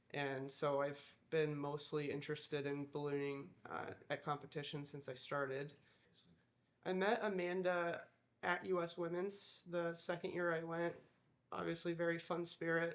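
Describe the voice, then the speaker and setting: A woman's very deep, low voice with a US Midwestern accent and fairly even intonation. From US Midwest, Iowa. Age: 30s. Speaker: balloon crew member and pilot. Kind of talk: documentary interview.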